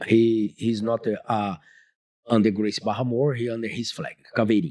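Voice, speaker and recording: A man's dark, mellow voice at a moderate pace, with fairly even intonation, in a very clean recording with a silent background. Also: medium pitch for a man. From Brazil, Rio de Janeiro. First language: Portuguese. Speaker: Brazilian jiu-jitsu instructor. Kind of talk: interview. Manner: halting, broken English with restarts.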